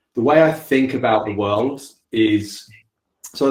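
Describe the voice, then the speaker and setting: The man's voice is somewhat breathy. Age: 40s. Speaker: company founder. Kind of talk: panel talk.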